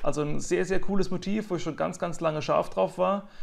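A man is speaking here. His pitch sits high. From Mannheim, Germany; Germany. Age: 30s. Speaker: nature photographer; interviewee. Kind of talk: interview. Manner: frequent hesitations. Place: home room. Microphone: earbuds.

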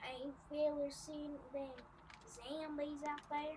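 A put-on character voice sits at a high pitch and moves at a fairly slow pace. Background noise is clearly audible.

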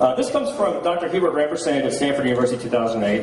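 A man talks at a fairly quick pace. Audible room echo and light background noise surround his voice. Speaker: conference speaker. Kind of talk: lecture. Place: hall. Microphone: handheld.

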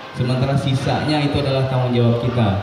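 A man speaks very fast with flat, monotone intonation. Audible room echo and noticeable background noise are present. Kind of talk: welcome speech. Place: hall. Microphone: pa.

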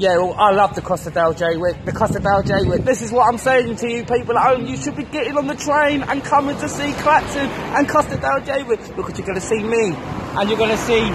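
A man talks at a fairly quick pace. Crowd noise fills the background. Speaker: street vlogger. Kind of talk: casual vlog chat. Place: street. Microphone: phone near.

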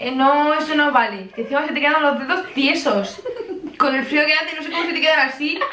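A woman with a high pitch raises and projects her voice at a fairly quick pace, using ordinary pitch variation. Audible room echo and light background noise are present. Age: young. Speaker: vlogger. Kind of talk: casual talk to camera. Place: home room. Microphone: camera far.

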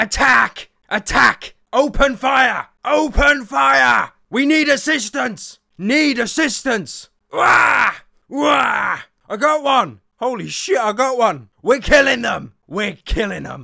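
A man speaks in a raised, projected voice at an extremely high pitch and a very slow pace. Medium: machinima. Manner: shouting, urgent, excited.

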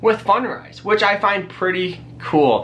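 This is a man speaking. His tone is upbeat and energetic. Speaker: personal finance YouTuber. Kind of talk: casual vlog tutorial. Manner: upbeat, energetic. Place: home room.

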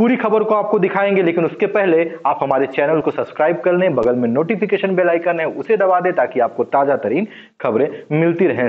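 Against a quiet background, a man speaks at an even, moderate speed. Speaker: news presenter. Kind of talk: news report presentation. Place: studio.

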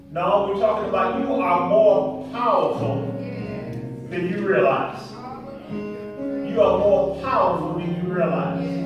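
Strong room echo and clear music in the background accompany a man speaking at a very slow pace. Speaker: pastor. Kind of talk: sermon. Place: church. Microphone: podium.

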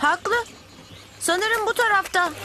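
A woman's cartoonish character voice, extremely high-pitched with a bright, sharp tone, slow pace and ordinary pitch variation, over faint background noise

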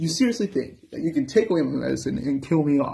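A man talks at a fairly high pitch with a dark, mellow tone that is somewhat breathy. His intonation is lively, and the background is quiet. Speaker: musician and channel owner with a metabolic disorder. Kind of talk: angry profane rant at social services over denied medicine. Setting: talking to camera in a room. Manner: heated and expletive-laden, swearing at the system; rambling and tangential, stumbling over words with many uh fillers. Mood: angry, defiant, threatening. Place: home room. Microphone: phone near.

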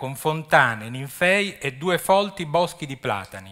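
A man's bright, sharp tone with lively intonation over a quiet background. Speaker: archaeology official. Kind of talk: lecture. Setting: stage with audience. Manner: halting. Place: stage. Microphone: podium.

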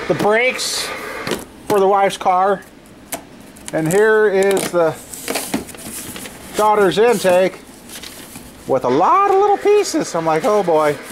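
A man's high voice at a fairly slow pace, with ordinary pitch variation, long, frequent pauses and noticeable background noise. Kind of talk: casual vlog chat. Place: garage. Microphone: phone near.

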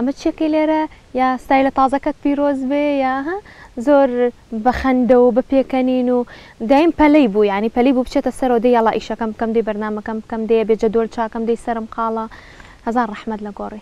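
Very fast delivery in a dark, mellow tone, with ordinary pitch variation and a dry, close sound with no echo. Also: woman, high pitch for a woman. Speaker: TV presenter. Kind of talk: panel discussion remembering a colleague.

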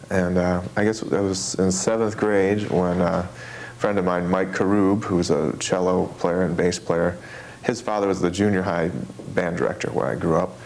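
A man speaks with a very deep, low pitch, fairly even intonation and very even loudness. Light background noise sits behind him. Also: moderate pace. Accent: American. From Michigan, near Detroit; Michigan. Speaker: jazz trumpeter; interviewee. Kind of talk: interview. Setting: filmed interview. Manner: halting. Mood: warm, cheerful. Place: home room. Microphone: lapel.

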